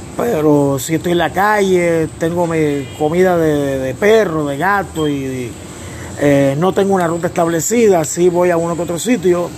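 Spoken in a Puerto Rican accent, the clip has audible room echo and noticeable background noise. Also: man. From Puerto Rico, Humacao area. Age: 50s. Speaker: professional wrestler and wrestling commentator. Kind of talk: interview. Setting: on location in Vieques.

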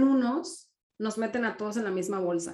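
A plain, everyday voice from a woman at a fairly slow pace. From Mexico. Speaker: entrepreneur, marketing consultant. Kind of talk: interview.

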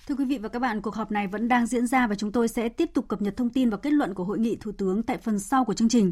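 A woman rushes along at a very fast pace with hardly any pauses. Her fairly high, somewhat breathy voice has ordinary pitch variation. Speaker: radio news anchor. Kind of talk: news reading. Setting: studio. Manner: formal.

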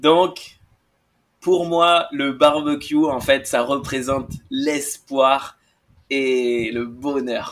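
The man's pitch is fairly high and his intonation fairly even. He talks at a very slow pace. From France, Bordeaux. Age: young. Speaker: podcast guest, Instagram account owner. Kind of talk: playful storytelling.

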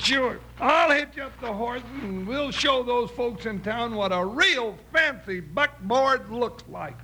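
Putting on a character voice, a man speaks slowly at an extremely high pitch, with lively intonation and a bright, sharp tone, over faint background noise.

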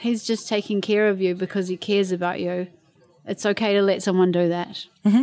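An unremarkable speaking voice from a woman, moderate in pace and medium in pitch. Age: 40s. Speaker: interviewee. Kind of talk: casual chat. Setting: outdoors.

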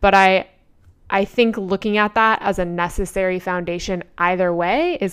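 A woman speaks at a moderate pace in a medium pitch with fairly even intonation. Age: 30s. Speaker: artist and podcast host. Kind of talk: solo podcast monologue. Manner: casual, filler-heavy.

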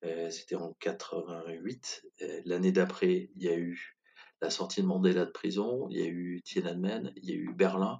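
A man speaks at a fairly slow pace, and his loudness swings widely. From France, Corrèze (Brive-la-Gaillarde). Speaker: communication agency founder. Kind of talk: interview.

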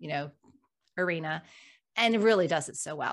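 A woman speaks in a normal speaking voice at a fairly low pitch with ordinary pitch variation. Her pace is fairly quick, and the background is quiet. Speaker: podcast co-host. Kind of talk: casual conversational livestream.

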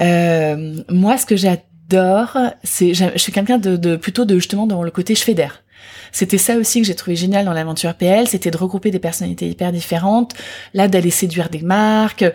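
A woman speaks at medium pitch with a dark, mellow tone. Her intonation is fairly even and her pace moderate. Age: 40s. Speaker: beauty brand founder. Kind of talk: interview.

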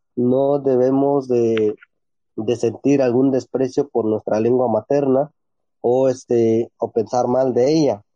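Man at a very slow pace, monotone flat intonation and very even loudness. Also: medium pitch for a man. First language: Ombeayiüts (Ikoots) (speaking Spanish). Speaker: teacher and writer. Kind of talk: interview.

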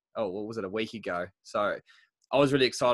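The recording of a man with a New Zealand accent is dry and close, with no echo. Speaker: podcast host, nutritionist. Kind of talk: casual interview. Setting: video call. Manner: enthusiastic.

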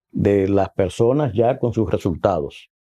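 Against a quiet background, a man speaks at a medium pitch with a dark, mellow tone. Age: 60s. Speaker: former health minister. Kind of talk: interview. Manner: halting.

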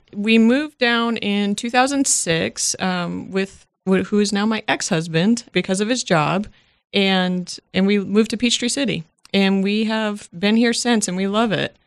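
Over a quiet background, a woman talks with an American accent and an ordinary speaking voice. Her pitch is medium, with ordinary pitch variation. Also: fairly slow pace. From Massachusetts, Worcester area. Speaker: radio station staff member. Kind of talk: interview, casual chat.

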